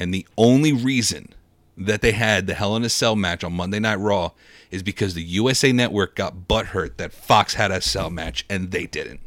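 This is an ordinary speaking voice from a man at a fairly low pitch, with ordinary pitch variation. He keeps a moderate pace on a very clean recording with a silent background. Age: 20s. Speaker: wrestling podcast co-host. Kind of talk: casual chat.

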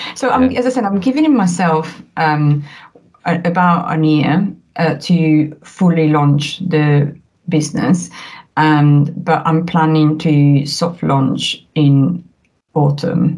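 A woman's very deep, low voice in an Italian accent, somewhat breathy, at a very slow pace with ordinary pitch variation. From northern Italy, near the Alps. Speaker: family documentary photographer. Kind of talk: casual interview chat. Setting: remote call.

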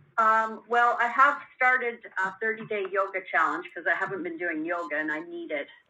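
Over noticeable background noise, a woman speaks at a moderate pace and medium pitch. Her pitch swings very widely. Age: 60s. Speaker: caller, coaching student. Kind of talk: call-in coaching conversation. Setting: phone call.

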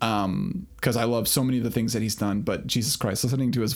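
A man speaks at a medium pitch. His pitch varies in an ordinary way. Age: 40s. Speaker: podcast host. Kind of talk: casual chat.

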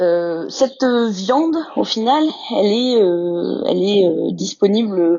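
The speaker is a woman with a medium pitch. Her voice swings very widely in pitch. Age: 30s. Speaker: zoo veterinarian. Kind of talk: interview. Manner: halting, many hesitations.

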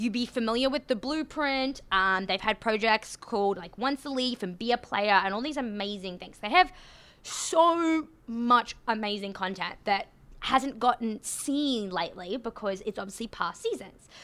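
A woman speaks in a strong Australian accent with a fairly high pitch and lively intonation. The recording is very clean, with a silent background. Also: moderate pace. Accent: Australian, thick. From Australia, Queensland (Rockhampton). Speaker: podcast host, hockey. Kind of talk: casual chat, conversational podcast.

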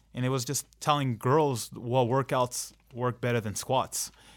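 With an American accent and an ordinary speaking voice, the speaker talks at a fairly slow pace with fairly even intonation on a very clean recording against a silent background. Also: man. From Southern California, Anaheim. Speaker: fitness coach and online entrepreneur. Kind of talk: casual interview.

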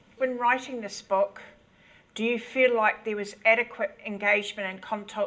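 In a plain, everyday voice, a woman speaks at a moderate pace with a fairly high pitch and fairly even intonation. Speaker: moderator. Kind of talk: reading questions.

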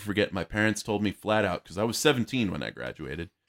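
In a dry, close sound with no echo, a man with an American accent talks at a very fast pace in a very deep, low pitch. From Arizona, Yuma. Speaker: comedian and soldier. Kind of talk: casual chat.

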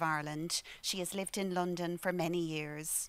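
With an Irish accent, a woman speaks at a moderate pace in a fairly low pitch, recorded very cleanly with a silent background. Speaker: library director. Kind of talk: formal welcome speech. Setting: stage with audience.

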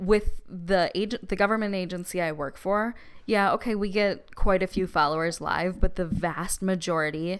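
Very clean, with a silent background, the recording features a woman with a Midwestern accent. She speaks at a medium pitch and a moderate pace. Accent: Midwest. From Wisconsin. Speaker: podcast co-host, social media marketer. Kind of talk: casual chat.

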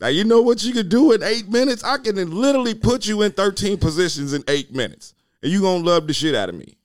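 Over music in the background, a man speaks very fast at a high pitch, with lively intonation and hardly any pauses. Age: 40s. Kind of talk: casual chat.

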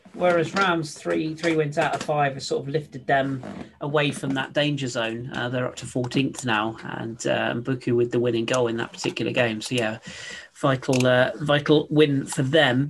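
A man of medium pitch at a moderate pace, with ordinary pitch variation, over noticeable background noise. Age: 30s. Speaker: football podcast host. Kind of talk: casual chat.

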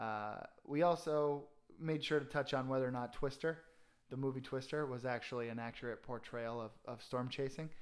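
An ordinary speaking voice from a man with an American accent, medium in pitch with ordinary pitch variation, at a moderate pace on a very clean recording with a silent background. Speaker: alumni podcast host. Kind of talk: casual interview. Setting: guest's home.

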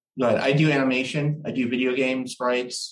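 In a monotone, flat delivery, a man with an American accent speaks at a medium pitch, with audible room echo. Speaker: musician in a tribute band. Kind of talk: casual interview.

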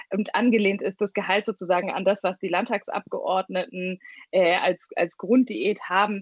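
A woman's medium-pitched voice, with fairly even intonation at a moderate pace. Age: 20s. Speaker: party leader. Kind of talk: interview. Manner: hesitant, many fillers.

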